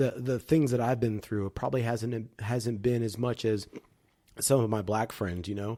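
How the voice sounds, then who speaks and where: On a very clean recording with a silent background, a man with a dark, mellow tone speaks at a moderate pace. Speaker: podcast co-host. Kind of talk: casual chat. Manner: slurs words a little; halting, repetitive.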